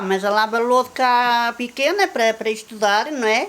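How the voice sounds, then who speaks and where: A woman is speaking. Her pace is fairly slow. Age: 60s. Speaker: local villager. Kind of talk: interview testimony.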